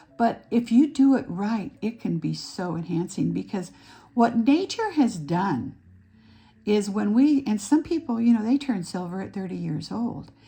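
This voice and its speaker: A woman speaks fairly slowly with a dark, mellow, somewhat breathy tone. Her fairly high pitch swings very widely. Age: 70s. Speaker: aesthetician and makeup artist. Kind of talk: tutorial. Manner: halting.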